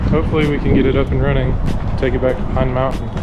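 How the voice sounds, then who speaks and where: A man talks while music plays in the background. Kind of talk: casual vlog chat. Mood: excited, upbeat. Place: garage. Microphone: phone near.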